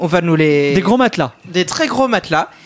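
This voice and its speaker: Over noticeable background noise, a man talks at a fairly slow pace. His voice is high-pitched and swings very widely in pitch. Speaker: math columnist. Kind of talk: casual explanatory panel chat.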